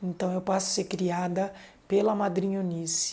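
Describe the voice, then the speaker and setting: A woman speaks at a moderate pace with a medium pitch and monotone, flat intonation. Noticeable background noise runs behind her. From Brazil, São Paulo. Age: 50s. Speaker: samba school member. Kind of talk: documentary interview.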